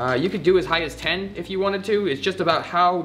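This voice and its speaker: Faint music plays in the background. A man talks at a fairly quick pace in a high pitch. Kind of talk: tutorial. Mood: relaxed, playful. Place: workshop.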